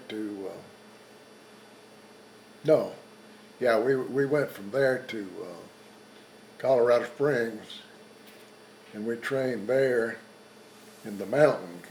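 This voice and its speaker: With a Texan accent, a man of medium pitch shows ordinary pitch variation and big swings in loudness, pausing long and often. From South Texas. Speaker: World War II veteran and rancher. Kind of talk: interview answer.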